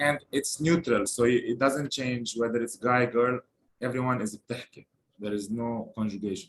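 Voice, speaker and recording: A man with a Lebanese accent at medium pitch, moderate pace, and ordinary pitch variation. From Lebanon. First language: Lebanese Arabic. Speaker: language teacher. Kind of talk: language lesson.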